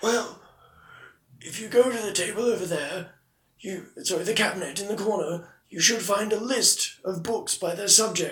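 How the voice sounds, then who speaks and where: The speaker does a put-on character voice and keeps to a moderate pace. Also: man, high pitch for a man. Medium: actual play. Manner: prim, dry.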